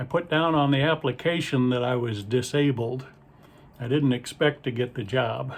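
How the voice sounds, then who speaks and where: Somewhat breathy, a man with a Midwestern American accent talks at a moderate pace in a medium pitch with fairly even intonation. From Ohio, US Midwest. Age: 60s. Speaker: stand-up comedian and magician. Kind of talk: stand-up. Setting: video call to muted audience.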